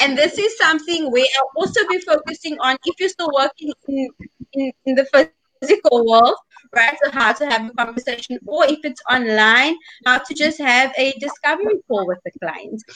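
A woman's raised, projected voice at a high pitch, with lively intonation, a moderate pace, and a dry, close sound with no echo. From South Africa. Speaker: life coach. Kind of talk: interview.

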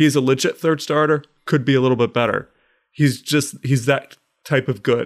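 A normal speaking voice at a moderate pace, with fairly even intonation and very even loudness. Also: man, fairly high pitch for a man. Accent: American. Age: 30s. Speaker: podcast co-host. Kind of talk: casual chat.

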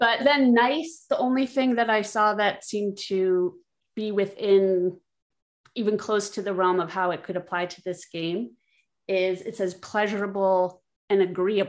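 With an American accent, a woman talks at a fairly slow pace. Hers is an unremarkable speaking voice with ordinary pitch variation. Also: medium pitch for a woman. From not from Philadelphia. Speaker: guest game player. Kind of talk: casual chat.

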